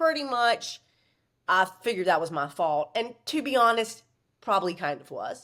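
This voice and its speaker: A woman speaks with a Southern US accent in an animated tone. Her pace is fairly slow. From US South, Virginia. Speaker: author and former stripper. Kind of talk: podcast interview, personal storytelling.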